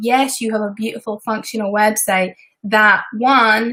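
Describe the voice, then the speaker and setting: A woman with a Scottish accent speaks at a moderate pace in a fairly high pitch. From Scotland. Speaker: web designer and business coach. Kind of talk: live stream tutorial. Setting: live stream. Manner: casual, chatty.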